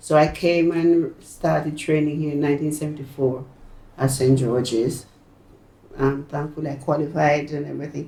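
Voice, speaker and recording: A woman speaks in a Jamaican accent, her pitch very deep and low. Her tone is dark and mellow, her intonation a flat monotone. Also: moderate pace. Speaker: retired nurse. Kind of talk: oral history interview answer. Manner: emotional.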